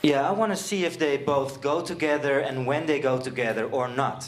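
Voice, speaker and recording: A man's fairly high voice at a fairly slow pace, with ordinary pitch variation, noticeable background noise and audible room echo. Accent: Dutch. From Netherlands, Friesland. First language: Dutch. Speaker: seminar presenter. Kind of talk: presentation. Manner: halting, many fillers.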